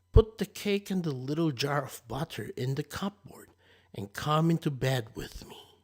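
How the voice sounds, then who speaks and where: In a very clean recording with a silent background, a man uses a gruff, put-on character voice at a fairly high pitch. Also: moderate pace. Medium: read story. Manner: sly, wheedling.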